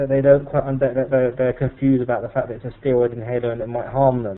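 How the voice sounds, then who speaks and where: With a British accent, a man talks at a very fast pace in a medium-pitched voice with fairly even intonation. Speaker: pharmacy trainer. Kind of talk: webinar presentation. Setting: online webinar. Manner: halting, many fillers.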